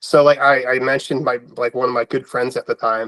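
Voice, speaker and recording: A man's unremarkable speaking voice with an American accent, medium in pitch and at a fairly quick pace, in a dry, close sound with no echo. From US Northeast, Philadelphia. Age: 30s. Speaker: web3 community member. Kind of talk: interview. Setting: in person at guest's home.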